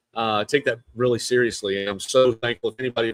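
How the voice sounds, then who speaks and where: Someone with a South Carolina accent speaks at a fairly quick pace, recorded dry and close with no echo. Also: man. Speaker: real estate podcast host. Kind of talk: live stream monologue. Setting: outdoors at an event venue. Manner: animated.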